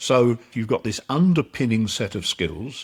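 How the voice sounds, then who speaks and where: A man speaks at a moderate pace. His voice is somewhat breathy, with lively intonation. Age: 70s. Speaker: performance psychologist. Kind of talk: podcast interview.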